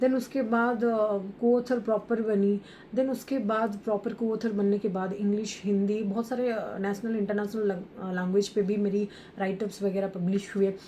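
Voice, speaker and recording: A woman with an Odia accent, medium pitch, monotone and flat intonation, and a moderate pace. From India, Odisha. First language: Odia (speaking Hindi). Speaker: author and entrepreneur. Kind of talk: podcast interview. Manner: halting, many fillers.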